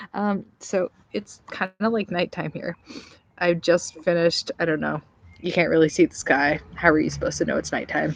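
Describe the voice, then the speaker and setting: A woman speaks quietly at a moderate pace, her voice dry and close with no echo. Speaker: vlogger. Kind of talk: casual vlog review. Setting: outdoors in backyard at night. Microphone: laptop.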